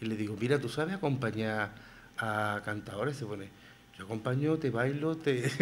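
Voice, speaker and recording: A man at medium pitch talks at a moderate pace in a plain, everyday voice with ordinary pitch variation over light background noise. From Spain, Granada (Albaicín); Spain. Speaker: writer and flamenco figure; radio guest. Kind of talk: radio interview. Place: studio. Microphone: studio mic.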